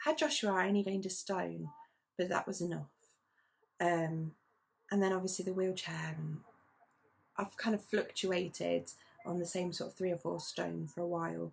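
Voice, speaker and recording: Pausing long and often, a woman with a British accent speaks at a moderate pace. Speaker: knitting vlogger. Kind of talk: casual chat.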